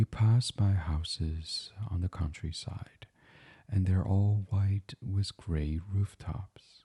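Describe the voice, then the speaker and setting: Very slowly, a man speaks at a fairly low pitch in a somewhat breathy, dark, mellow, gentle and soothing tone with ordinary pitch variation. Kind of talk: sleep story, guided meditation reading. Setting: studio microphone recording. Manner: gentle, soothing.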